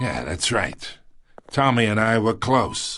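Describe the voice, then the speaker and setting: Putting on a raspy character voice at a medium pitch, a man speaks at a fairly slow pace. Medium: video game. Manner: smug, wheedling.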